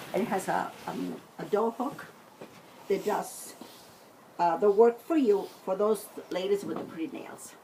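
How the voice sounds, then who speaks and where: A woman speaks with lively intonation and long, frequent pauses, her loudness swinging widely over noticeable background noise. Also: medium pitch for a woman, fairly slow pace. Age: 60s. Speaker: home cook. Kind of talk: cooking tutorial. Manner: casual, hesitant with fillers.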